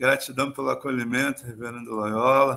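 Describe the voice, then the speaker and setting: The speaker is a man. His voice sounds bright and sharp. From Rio de Janeiro, Brazil. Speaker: pastor. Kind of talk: sermon.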